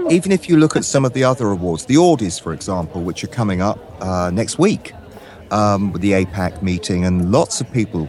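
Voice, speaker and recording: Fairly quick, lively speech from a man with a fairly low pitch, over noticeable background noise. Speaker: voice actor playing barista. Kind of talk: casual chat.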